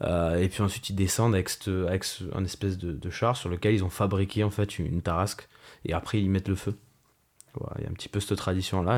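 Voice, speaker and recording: At a fairly quick pace, a man speaks with fairly even intonation and a fairly low pitch. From Provence, southern France (Marseille). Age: 20s. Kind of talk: interview. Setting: remote call. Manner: halting, many fillers.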